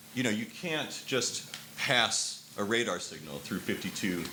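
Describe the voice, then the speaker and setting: A man speaks at a moderate pace with lively intonation. Noticeable background noise runs behind him. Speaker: former advertising worker. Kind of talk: conversational anecdote in a panel discussion.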